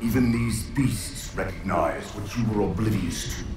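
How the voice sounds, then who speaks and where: A man's put-on character voice at a medium pitch and moderate pace, with slight echo and loud background noise. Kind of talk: dramatic character dialogue.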